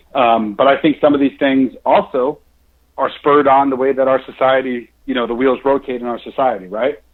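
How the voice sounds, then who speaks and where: This man has an American accent and a medium pitch. He talks at a fairly quick pace. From New York, US. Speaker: author. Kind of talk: casual chat. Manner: loud; animated.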